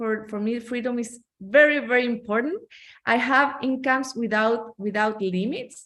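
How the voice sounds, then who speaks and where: A woman with a Chilean Spanish accent talks at a fairly slow pace, her fairly high pitch showing ordinary variation. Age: 40s. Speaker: network marketing entrepreneur. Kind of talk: testimony. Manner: halting.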